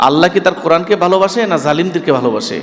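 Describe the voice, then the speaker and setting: A man with a high pitch and lively intonation speaks over noticeable background noise. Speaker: Islamic scholar preacher. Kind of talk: Bangla waz mahfil sermon. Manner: emotional, rhetorical, passionate.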